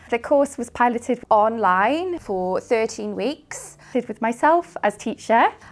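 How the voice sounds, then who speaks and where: This woman talks at a fairly slow pace, her high voice carrying lively intonation. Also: hardly any pauses. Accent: Welsh. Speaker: Welsh language teacher and project worker. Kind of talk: promotional video talk.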